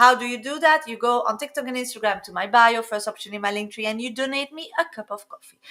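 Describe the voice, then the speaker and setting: In a French accent, a woman speaks at a very fast pace with hardly any pauses, her high voice swinging widely in loudness. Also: ordinary pitch variation. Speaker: psychic tarot reader. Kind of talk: live stream reading. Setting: live stream.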